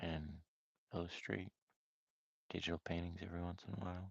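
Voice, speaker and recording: Soft-spoken and relaxed, a man with a very deep, low voice talks at a moderate pace in a dry, close sound with no echo. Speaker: amateur artist streamer. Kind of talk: live stream art session chat. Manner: casual, relaxed.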